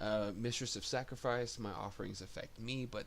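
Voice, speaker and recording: Here a man talks at a moderate pace. Audible room echo surrounds his voice. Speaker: gaming video creator. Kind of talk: game build tutorial. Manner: halting, many fillers.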